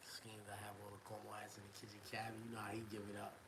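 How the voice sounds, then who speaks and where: Amid noticeable background noise and audible room echo, a man talks in an animated tone at a very fast pace. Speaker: rapper and live streamer. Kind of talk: casual livestream rant. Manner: soft-spoken.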